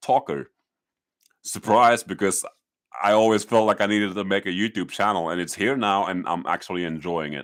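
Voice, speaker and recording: A man with a fairly low pitch at a moderate pace, with ordinary pitch variation and long, frequent pauses. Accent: Dutch. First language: Dutch. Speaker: YouTuber. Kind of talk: live stream talk. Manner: halting; loud.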